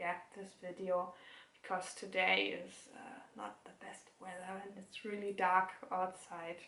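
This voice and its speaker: There is audible room echo as a woman of medium pitch speaks at a fairly slow pace, her fairly even intonation touched with vocal fry. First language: German. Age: 20s. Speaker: knitting podcaster. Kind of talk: casual chat. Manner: halting.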